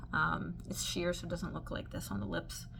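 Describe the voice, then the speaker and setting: Audible room echo around a woman's fairly quick speech. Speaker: beauty vlogger. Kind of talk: makeup review vlog. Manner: casual with many fillers.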